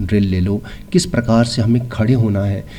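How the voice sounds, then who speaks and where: A man of medium pitch with a dark, mellow tone and a somewhat breathy sound. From India, Jabalpur (Madhya Pradesh). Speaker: film actor and doctor. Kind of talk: interview. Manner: hesitant with fillers.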